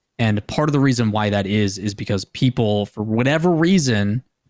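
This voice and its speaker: The speaker has an unremarkable speaking voice with ordinary pitch variation at a moderate pace, on a very clean recording with a silent background and a dry, close sound with no echo. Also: man. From US Midwest (Green Bay, Wisconsin). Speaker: esports caster and TV host. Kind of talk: casual chat.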